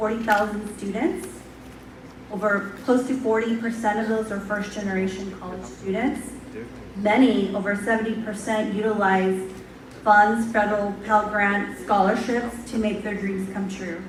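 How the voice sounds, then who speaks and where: A fairly high-pitched woman talks at a moderate pace. Her voice carries audible room echo over noticeable background noise. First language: not English. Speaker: university administrator. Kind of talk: speech.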